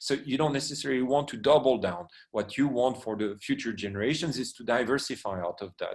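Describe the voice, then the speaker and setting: Talking at a very fast pace with hardly any pauses, a man keeps a medium pitch. His pitch variation is ordinary. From France. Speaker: private equity expert and lecturer. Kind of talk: lecture. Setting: online training session. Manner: halting, many fillers and repetitions.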